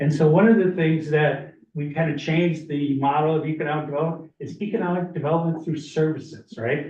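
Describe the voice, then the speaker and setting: A man with a fairly high pitch talks at a fairly quick pace with ordinary pitch variation. Room echo is audible. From northern Minnesota. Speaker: community presenter at county meeting. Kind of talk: public presentation. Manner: fast.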